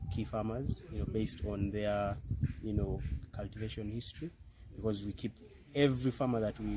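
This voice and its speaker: A man's fairly low voice at a fairly quick pace over noticeable background noise. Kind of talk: interview answer. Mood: calm, proud. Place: farm machine.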